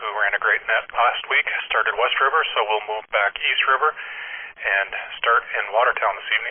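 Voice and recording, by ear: A man speaks at a fairly quick pace. His voice has a slightly husky edge.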